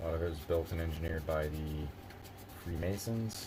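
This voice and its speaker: A man in a relaxed tone with a very deep, low pitch, with audible room echo. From Philadelphia area, US Northeast. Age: 30s. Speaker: live streamer. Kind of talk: casual live stream chat. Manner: relaxed, rambling with fillers.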